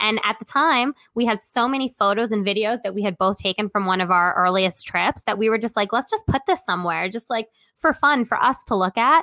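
An American-accented woman with a fairly high pitch, ordinary pitch variation, and a bright, sharp tone, fairly quick with hardly any pauses, in a very clean, dry, close recording with a silent background and no echo. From Brooklyn, New York City. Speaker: travel blogger. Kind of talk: casual interview.

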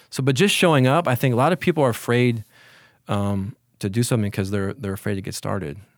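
This man talks at a very fast pace. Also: very clean recording, silent background. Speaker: mindset coach. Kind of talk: interview. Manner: halting.

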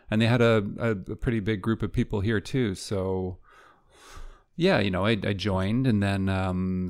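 With a Canadian accent, a man talks at a moderate pace in a very deep, low pitch and fairly even intonation, captured on a very clean recording with a silent background. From Vancouver, western Canada. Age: 50s. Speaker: film editor. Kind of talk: casual interview. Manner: halting, repeats words.

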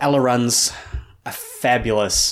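A man speaks with a New Zealand accent. The recording is very clean, with a silent background. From New Zealand, Hamilton. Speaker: artist and designer. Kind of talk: interview conversation.

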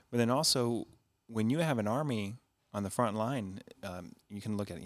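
Using a normal speaking voice, a man with a fairly low pitch shows ordinary pitch variation. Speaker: pastor and podcast host. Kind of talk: casual interview.

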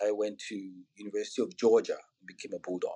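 In a Nigerian accent, the voice has a dark, mellow tone and ordinary pitch variation. The pace is fairly quick. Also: man. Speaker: physician and health IT executive. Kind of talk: podcast interview.

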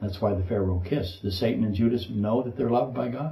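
Somewhat breathy and dark, mellow in tone, a man's fairly low voice carries audible room echo. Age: 60s. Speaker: pastor. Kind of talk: sermon.

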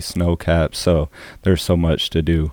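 In an American accent, the voice has a dark, mellow tone and a monotone, flat intonation at a moderate pace. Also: man. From South Carolina (Orangeburg). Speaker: author and churchgoer. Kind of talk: testimony.

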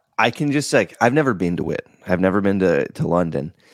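A man with an ordinary speaking voice is heard in a very clean recording against a silent background. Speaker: podcast host. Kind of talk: casual interview.

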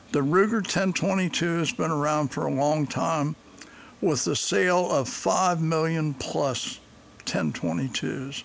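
Against noticeable background noise, a man speaks very slowly at a fairly high pitch with ordinary pitch variation. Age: 80s+. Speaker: podcast host, gun reviewer. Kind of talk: reading aloud own reviews with casual asides. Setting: home recording studio. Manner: halting, with frequent fillers.

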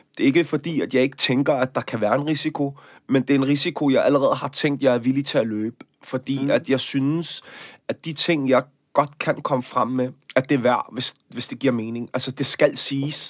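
This man speaks in a plain, everyday voice, fairly high in pitch, at a moderate pace with fairly even intonation, in a dry, close sound with no echo. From Denmark, Copenhagen area. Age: 30s. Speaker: actor and activist. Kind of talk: interview.

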